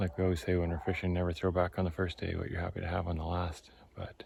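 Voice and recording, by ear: This man talks at a fairly quick pace in a low, husky voice with a rough edge, a slightly mellow tone, vocal fry, and monotone, flat intonation.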